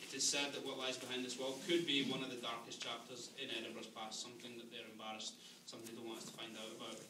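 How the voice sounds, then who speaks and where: Here a man talks at a very fast pace. Noticeable background noise is present. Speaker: ghost tour guide. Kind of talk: tour guide storytelling. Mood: dramatic, then wry humour. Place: tunnel cave. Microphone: camera far.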